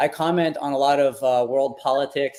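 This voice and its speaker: A man with a medium pitch speaks in a monotone with flat intonation. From Quebec. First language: French. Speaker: NFT artist. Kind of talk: interview.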